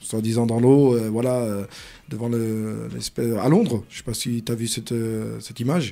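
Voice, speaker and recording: Moderate-paced speech from a man at medium pitch, fairly even in intonation, over noticeable background noise. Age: 40s. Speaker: radio host. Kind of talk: radio interview.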